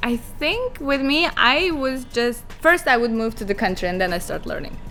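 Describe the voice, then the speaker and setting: With music in the background, a woman with a non-native accent talks at a moderate pace, pitched high with very wide swings. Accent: foreign accent, being corrected. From Kazakhstan, Almaty. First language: Kazakh or Russian. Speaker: model. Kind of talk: podcast interview.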